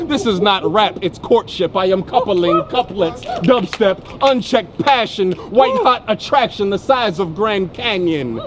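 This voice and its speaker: A man with an American accent, high-pitched and lively in intonation, at a fairly slow pace with hardly any pauses, against noticeable background noise. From US Midwest, Ohio. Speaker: spoken word poet. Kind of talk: spoken word performance. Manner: rhythmic.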